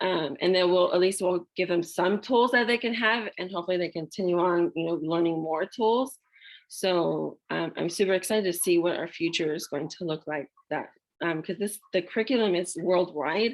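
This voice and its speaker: Her voice is an ordinary speaking voice, as a woman speaks fairly low at a moderate pace with ordinary pitch variation. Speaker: parenting class presenter. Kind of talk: online parenting class presentation. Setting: video call.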